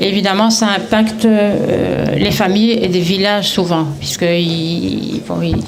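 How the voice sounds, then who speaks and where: A woman speaks at medium pitch with fairly even intonation. Audible room echo and noticeable background noise are present. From Belgium, Brussels. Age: 70s. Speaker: retiree, network marketing seller. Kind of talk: testimony at community event. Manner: halting, many hesitations.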